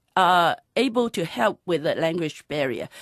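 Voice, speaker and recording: A woman's voice with very wide pitch swings and a fairly slow pace, dry and close with no echo, on a very clean recording over a silent background. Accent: Cantonese. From Hong Kong. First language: Cantonese. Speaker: conservation trust founder. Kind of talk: radio interview. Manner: halting, many fillers.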